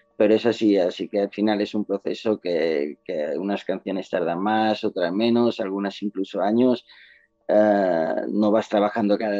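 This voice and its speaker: At a moderate pace, a man with a normal speaking voice and a fairly low pitch talks with fairly even intonation. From Mallorca, Spain. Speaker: singer-songwriter. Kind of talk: interview.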